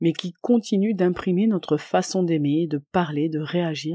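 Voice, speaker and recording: In a very clean recording with a silent background, a woman speaks at a fairly slow pace and fairly low pitch, her tone calm, dark and mellow, with ordinary pitch variation. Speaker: podcast host and coach. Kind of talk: podcast monologue.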